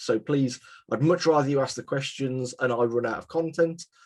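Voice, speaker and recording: Moderate pace and ordinary pitch variation from a man with a West Midlands accent, medium in pitch. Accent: British (West Midlands). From England, West Midlands (west of Birmingham). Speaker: CAM software presenter. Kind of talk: webinar presentation. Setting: live webinar. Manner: casual, filler-heavy.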